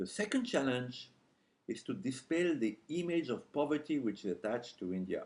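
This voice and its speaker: A man with a French accent speaks in a fairly high voice with vocal fry. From France. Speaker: journalist. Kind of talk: speech. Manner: halting.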